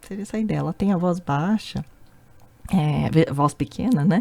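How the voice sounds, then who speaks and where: A soft-spoken woman with a Brazilian accent, a dark, mellow tone, and very wide pitch swings. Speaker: language teacher. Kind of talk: tutorial.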